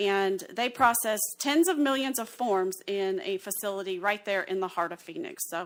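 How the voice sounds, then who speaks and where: On a very clean recording with a silent background, a woman with an Alabama accent speaks at a moderate pace and medium pitch, with lively intonation and hardly any pauses. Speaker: census partnership specialist. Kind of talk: presentation at county meeting.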